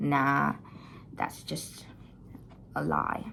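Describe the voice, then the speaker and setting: With an Indonesian accent, a woman speaks at a very slow pace. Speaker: vlogger. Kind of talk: personal storytelling. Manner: casual, hesitant.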